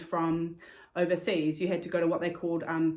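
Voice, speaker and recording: Here a woman speaks with a New Zealand accent. Her pitch sits fairly low. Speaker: cross-stitcher. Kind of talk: casual talk to camera. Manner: fast, with many fillers.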